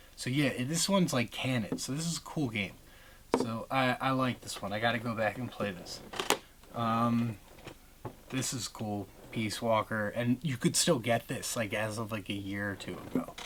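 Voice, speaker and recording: A moderate pace marks the speech. Behind it, background noise is noticeable. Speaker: gaming collector video host. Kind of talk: casual collection walkthrough. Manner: halting, many fillers.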